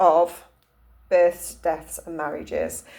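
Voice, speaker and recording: This woman speaks with a Cumbrian accent. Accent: northern English (Cumbrian). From northern England, Cumbria. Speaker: holistic therapist and energy healer. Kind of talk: casual talk to camera. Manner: hesitant, many fillers and restarts.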